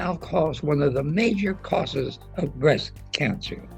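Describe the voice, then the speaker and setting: With music in the background, a man speaks at a fairly high pitch and with lively intonation. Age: 80s+. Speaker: physician and nutritionist. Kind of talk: interview answer.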